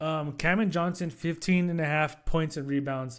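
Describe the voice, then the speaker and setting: On a very clean recording with a silent background, a man talks with fairly even intonation. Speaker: sports betting picks youtuber. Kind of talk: casual solo video commentary. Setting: late night home recording. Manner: fast; casual, filler-heavy.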